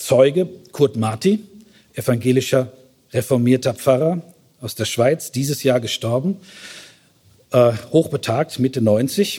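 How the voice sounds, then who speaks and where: At a fairly slow pace, a man speaks in a somewhat breathy, dark, mellow voice. His pitch is medium, with ordinary variation. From Germany, Westphalia. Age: 50s. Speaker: theologian. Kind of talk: lecture.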